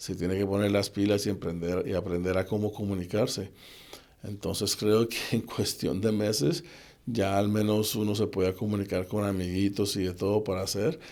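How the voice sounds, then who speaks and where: An unremarkable speaking voice, moderate in pace and fairly even in intonation. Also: man, fairly low pitch for a man. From Colombia, Cali. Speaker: assistant football coach. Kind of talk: interview conversation.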